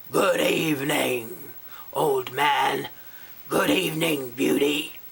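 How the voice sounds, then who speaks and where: A put-on character voice growls out its words at a very slow pace, raspy and pitched low-to-middle. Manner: gruff.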